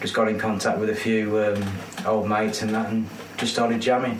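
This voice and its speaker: A man with a fairly low pitch talks at a moderate pace over noticeable background noise. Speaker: band vocalist and bassist. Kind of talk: casual interview chat. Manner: relaxed, chatty, jokey.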